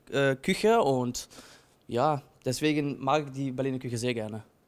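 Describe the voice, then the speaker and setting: A man talks fairly slowly on a very clean recording with a silent background. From Netherlands. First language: Dutch (speaking German). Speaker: sous chef. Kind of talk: interview answers. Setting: restaurant kitchen. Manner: halting.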